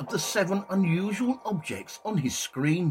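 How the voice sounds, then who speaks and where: With noticeable background noise behind him, a man with a high pitch speaks at a moderate pace. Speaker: podcast host, psychic medium and ufologist. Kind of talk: ufo documentary narration. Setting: community radio show. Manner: measured, storytelling narration; humorous, lightly comic.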